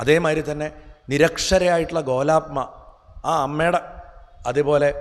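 A man's fairly high-pitched, unremarkable speaking voice. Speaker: spiritual speaker. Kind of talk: spiritual discourse.

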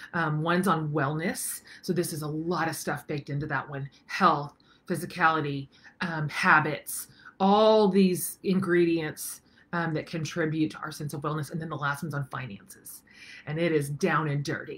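Her voice is very deep and low, with fairly even intonation. The woman keeps a moderate pace. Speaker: online course host. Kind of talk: casual vlog chat. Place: home room. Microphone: webcam.

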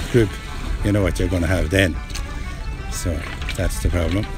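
Clear music plays behind a man whose voice sounds dry with no echo. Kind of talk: interview answer. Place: beach.

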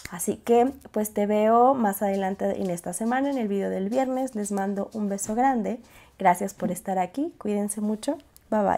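Recorded very cleanly against a silent background, the voice has a dark, mellow tone, a moderate pace and ordinary pitch variation. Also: woman, medium pitch for a woman. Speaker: YouTuber, organization and planning channel. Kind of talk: tutorial vlog. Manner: casual, with hesitations.

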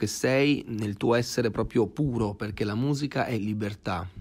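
A man with a plain, everyday voice speaks at a fairly slow pace and medium pitch, with ordinary pitch variation. The recording is very clean, with a silent background. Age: 20s. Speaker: actor and musician. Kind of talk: casual interview.

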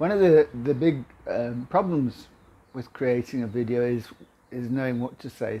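A man talks in a dark, mellow tone, his pitch shifting in an ordinary way. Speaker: video confidence coach. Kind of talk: casual tutorial vlog. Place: kitchen.

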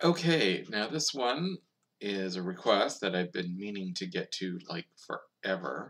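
At a fairly slow pace, a man talks in an ordinary speaking voice, fairly low in pitch with lively intonation. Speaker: youtuber. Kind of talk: casual talk to camera. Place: home room. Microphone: webcam.

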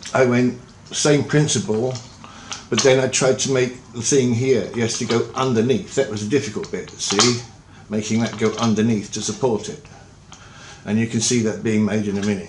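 Over light background noise and audible room echo, a man speaks at a moderate pace with long, frequent pauses. His pitch variation is ordinary. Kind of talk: casual vlog chat. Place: home room. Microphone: webcam.

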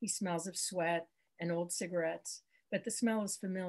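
Natural-sounding reading aloud

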